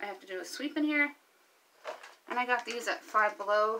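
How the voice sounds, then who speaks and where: At a moderate pace, a woman speaks over light background noise. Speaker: home organizing vlogger. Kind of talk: casual vlog chat. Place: home room. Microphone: phone near.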